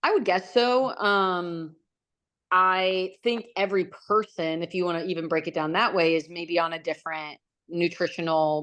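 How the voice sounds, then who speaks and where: At a moderate pace, a woman talks in an unremarkable speaking voice, fairly low in pitch and fairly even in intonation. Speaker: Olympic javelin thrower. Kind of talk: casual interview chat.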